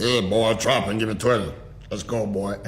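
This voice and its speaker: A man's put-on character voice at medium pitch and a moderate pace, with clear background noise. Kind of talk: gruff, shouted orders. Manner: barking, commanding.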